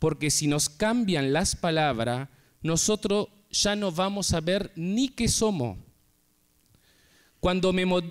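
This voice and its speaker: A man's high-pitched voice with lively intonation at a very slow pace, on a very clean recording with a silent background. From Uruguay, Artigas (Brazil border). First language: Portuñol (Spanish-Portuguese mix) (speaking Spanish). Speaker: writer. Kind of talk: conference talk.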